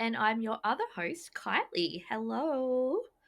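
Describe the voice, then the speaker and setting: Over a silent background in a very clean recording, a woman speaks at a very slow pace with very wide pitch swings. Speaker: podcast co-host. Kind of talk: casual chat. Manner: hesitant with many fillers.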